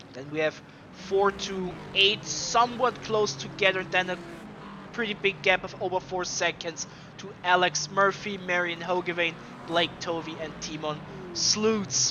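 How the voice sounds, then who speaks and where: Over noticeable background noise, a man with a high pitch speaks at a fairly slow pace, his loudness swinging widely. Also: ordinary pitch variation. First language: not English. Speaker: sim racing commentator. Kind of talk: live commentary. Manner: animated.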